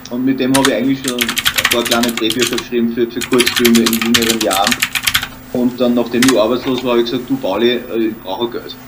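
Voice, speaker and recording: Over noticeable background noise, a man with an Austrian accent and a medium pitch speaks at a very fast pace in a monotone, flat intonation. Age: 30s. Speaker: actor and comedian. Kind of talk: casual interview. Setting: home studio.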